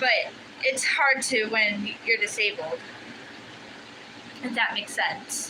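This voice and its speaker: The speech moves at a very slow pace. Noticeable background noise is present. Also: woman. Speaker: livestreamer crafting hobbyist. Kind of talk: casual live-stream chat. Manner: halting, with fillers.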